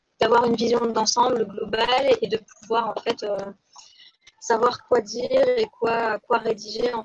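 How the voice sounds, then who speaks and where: A woman's fairly high voice in a monotone, flat intonation, with a dry, close sound and no echo. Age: 20s. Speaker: political candidate. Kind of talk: live stream monologue. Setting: YouTube live stream. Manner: hesitant, many fillers.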